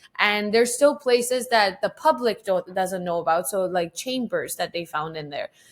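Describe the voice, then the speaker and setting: Speaking at a moderate pace, a woman with a Persian accent uses a medium pitch and lively intonation. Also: hardly any pauses. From Iran until age 10, then Vancouver, Canada. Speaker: photographer. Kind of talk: casual interview chat.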